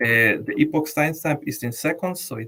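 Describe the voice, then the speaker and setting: A man talks in a Latin American accent, somewhat breathy. His pace is moderate and his pitch variation ordinary. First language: Spanish. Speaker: blockchain developer. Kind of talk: technical tutorial. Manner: halting, many repeated words.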